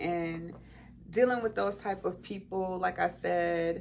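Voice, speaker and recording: This woman speaks at a fairly slow pace in an animated tone. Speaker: podcast host. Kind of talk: personal monologue.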